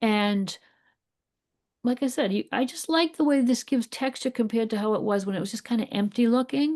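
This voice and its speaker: A woman with a Boston accent, fairly high-pitched, with ordinary pitch variation and a fairly quick pace, in a dry, close sound with no echo over a quiet background. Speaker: art teacher. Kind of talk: live painting class. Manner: casual, encouraging.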